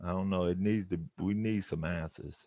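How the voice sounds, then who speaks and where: The background is quiet as a man talks at a fairly slow pace. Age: 70s. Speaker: community member. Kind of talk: community meeting discussion. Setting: video call. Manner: halting, with many repetitions.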